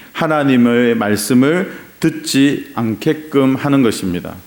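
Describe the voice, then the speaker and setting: A man with a Gyeongsang accent, a fairly high pitch, a very slow pace, and lively intonation, amid noticeable background noise and audible room echo. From Gyeongsang region, South Korea. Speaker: pastor. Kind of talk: sermon. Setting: church.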